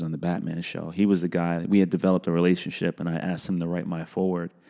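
Talking very fast in a New York accent, a man with a very deep, low pitch and a dark, mellow tone keeps a monotone, flat intonation on a very clean recording with a silent background. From New York City, South Bronx. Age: 40s. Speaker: animation director. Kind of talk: casual chat.

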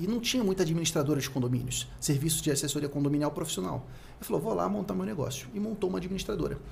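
A man at a very fast pace with very wide pitch swings and audible room echo. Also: fairly high pitch for a man. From Rio de Janeiro, Brazil. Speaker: accounting consultant and content creator. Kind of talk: casual interview chat.

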